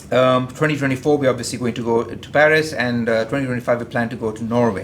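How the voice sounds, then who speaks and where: A man talks at a very fast pace in a medium pitch. Room echo is audible, and there is noticeable background noise. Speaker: engineer presenting at industry conference. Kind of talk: conference presentation. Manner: halting, many fillers and repetitions.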